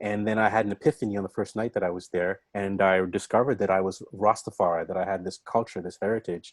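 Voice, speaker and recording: With an ordinary speaking voice, a man talks at a fairly quick pace and fairly low pitch with fairly even intonation, in a dry, close sound with no echo against a quiet background. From Canada, Scarborough, Toronto. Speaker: showcase host. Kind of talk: casual talk to audience.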